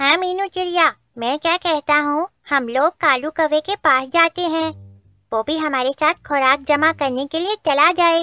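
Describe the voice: A cartoonish character voice, high in pitch, delivers its lines at a moderate pace.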